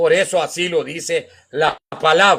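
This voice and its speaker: Raising and projecting his bright, sharp voice, a man speaks very slowly with very wide pitch swings. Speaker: pastor and evangelist. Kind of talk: sermon. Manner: slow, deliberate.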